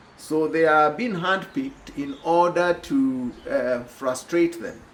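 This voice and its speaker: At a very slow pace, a man speaks with an East African accent and lively intonation. His pitch is fairly high, and noticeable background noise can be heard. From Kenya. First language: Swahili. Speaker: social commentator. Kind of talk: video monologue. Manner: hesitant with fillers.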